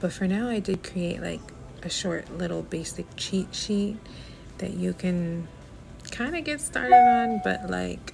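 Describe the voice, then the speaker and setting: Fairly slow speech with music in the background. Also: woman. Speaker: lifestyle vlogger. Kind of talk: vlog monologue. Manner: casual, chatty.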